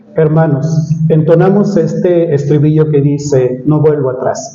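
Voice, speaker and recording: Fairly slow and fairly high-pitched, a man speaks with audible room echo and noticeable background noise. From Mexico City. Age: 60s. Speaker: preacher. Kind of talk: sermon.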